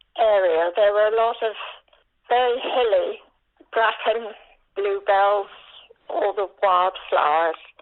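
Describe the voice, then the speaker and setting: Speaking with a West Country accent, a woman uses a fairly high pitch, ordinary pitch variation and a fairly slow pace. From Dorset, England. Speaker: older interviewee recalling memories. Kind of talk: oral history interview. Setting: phone call.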